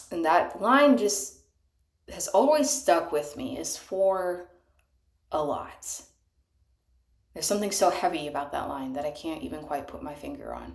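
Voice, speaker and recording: At a moderate pace, a woman with a fairly low pitch talks with very wide pitch swings, big swings in loudness and long, frequent pauses, with audible room echo around her. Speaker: amateur singer. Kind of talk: casual monologue. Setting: bathtub. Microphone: cheap microphone.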